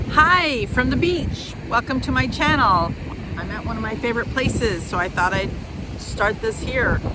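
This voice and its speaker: A woman's fairly high voice at a moderate pace, with very wide pitch swings, audible room echo and noticeable background noise. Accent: American. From US Midwest. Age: 60s. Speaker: vlogger. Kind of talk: casual vlog talk. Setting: outdoors at the beach. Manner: hesitant, many fillers.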